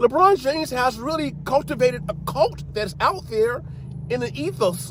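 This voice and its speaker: Animated in tone, a man with an American accent speaks at a high pitch with very wide pitch swings. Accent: Southern US accent, comes out at times. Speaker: sports commentator. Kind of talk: casual monologue. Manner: animated, halting with repetitions.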